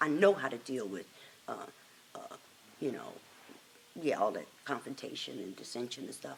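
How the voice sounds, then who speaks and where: A woman's very deep, low voice with an American accent at a moderate pace, over noticeable background noise. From Chicago, South Side. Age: 60s. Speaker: oral history interviewee. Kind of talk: oral history interview.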